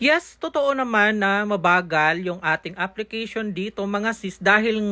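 The delivery is playful in tone and very slow in pace. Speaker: hairstylist. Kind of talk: hair tutorial vlog narration. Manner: casual, playful.

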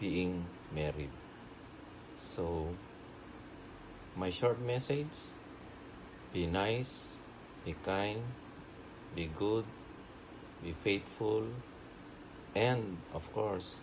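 Very slow talk from a man with a fairly low pitch, ordinary pitch variation and long, frequent pauses amid noticeable background noise. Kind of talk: personal video message. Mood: warm, affectionate. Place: home room. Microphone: phone near.

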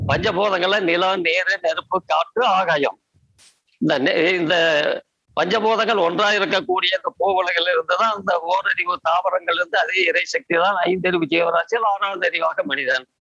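Raised and projected, a man's voice sits at a high pitch with a bright, sharp tone and ordinary pitch variation. Loudness stays very even, and the sound is dry and close with no echo. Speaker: naturopathy adviser and yoga teacher. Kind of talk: Q&A advice session.

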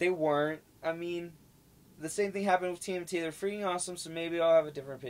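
Talking at a very fast pace, a man with a high pitch and fairly even intonation shows big swings in loudness. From Denver, Colorado. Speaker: podcast co-host. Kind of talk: casual chat. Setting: live stream.

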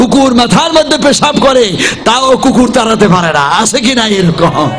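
A man speaks with a high-pitched voice. Noticeable background noise sits behind him. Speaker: Islamic preacher giving a waz sermon. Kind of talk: religious sermon (waz) delivered to a crowd. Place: tent. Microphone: podium.

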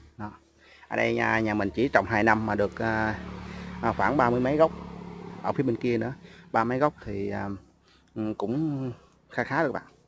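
The speech moves at a fairly quick pace, broken by long, frequent pauses, with ordinary pitch variation. Light background noise sits under a dry sound with no echo. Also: man, medium pitch for a man. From Mekong Delta, Vietnam (Vinh Long); Mekong Delta, Vietnam. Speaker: YouTuber showing a family coconut garden. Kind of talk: casual vlog walk-through. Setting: outdoors in a coconut garden. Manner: halting, many fillers. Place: garden. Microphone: phone near.

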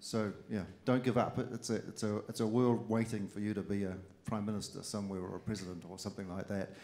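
A man with a New Zealand accent talks at a very fast pace with fairly even intonation. His pitch is fairly low and his tone dark and mellow. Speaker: politician. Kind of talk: speech to students. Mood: encouraging, earnest. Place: hall. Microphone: handheld.

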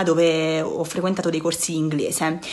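The woman talks at a moderate pace. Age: 20s. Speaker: former student, university student. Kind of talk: testimonial. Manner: halting, with fillers. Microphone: phone near.

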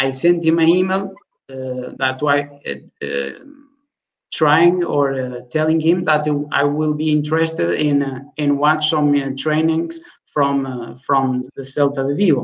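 Against a quiet background, the voice keeps a fairly even intonation and a very slow pace. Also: man, fairly high pitch for a man. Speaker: football analyst. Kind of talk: panel interview. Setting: video call.

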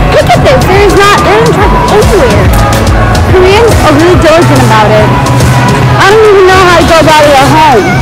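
Fairly quick speech over clear music in the background. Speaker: travel vlogger. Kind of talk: casual vlog chat. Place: market. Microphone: phone near.

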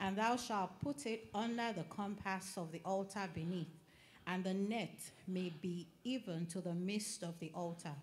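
The pace is fairly slow and the voice somewhat breathy. Pitch variation is ordinary. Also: woman, medium pitch for a woman. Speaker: scripture reader. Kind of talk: reading aloud from scripture.

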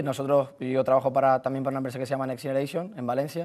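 A man with a fairly high pitch talks against a quiet background. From Canary Islands, Tenerife; Canary Islands. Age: 20s. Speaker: football coach; football coach guest. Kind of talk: sports talk show. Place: studio. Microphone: lapel.

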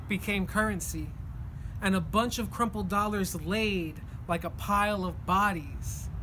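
Someone with an American accent talks at a fairly slow pace against light background noise. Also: man. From New Jersey. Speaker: poet. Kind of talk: spoken word poetry performance. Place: street. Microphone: phone near.

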